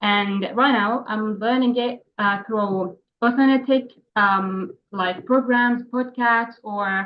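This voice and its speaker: A woman with a Palestinian accent speaks at a fairly high pitch. Her pace is very slow and her intonation fairly even. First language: Arabic. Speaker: English language student. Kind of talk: class discussion. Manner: halting.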